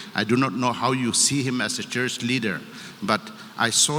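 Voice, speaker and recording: Over noticeable background noise, a man with a medium-pitched voice speaks at a moderate pace. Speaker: politician. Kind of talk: public speech.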